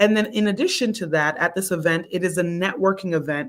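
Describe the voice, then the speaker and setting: A woman with a normal speaking voice talks at a moderate pace, her pitch fairly low with ordinary variation. The recording is very clean, with a silent background. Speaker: founder of a medical association hosting an info session. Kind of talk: live stream info session. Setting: live stream. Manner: casual, encouraging.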